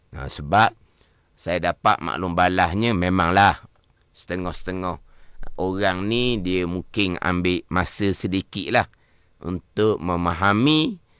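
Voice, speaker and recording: This man has a very deep, low voice and a slight Terengganu accent, speaking at a very slow pace with ordinary pitch variation. The recording is very clean, with a silent background. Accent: Terengganu Malay, slight. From Malaysia, Terengganu. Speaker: religious teacher. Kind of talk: religious lesson on radio. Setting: radio studio.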